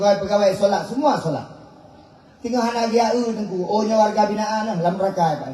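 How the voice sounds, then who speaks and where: There is audible room echo and noticeable background noise as a man talks in a high pitch. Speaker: Islamic preacher. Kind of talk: sermon.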